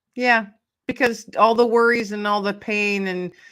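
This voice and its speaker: A woman's unremarkable speaking voice at medium pitch, fairly slow in pace, on a very clean recording with a silent background. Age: 50s. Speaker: author and podcast host, guest. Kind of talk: casual interview chat.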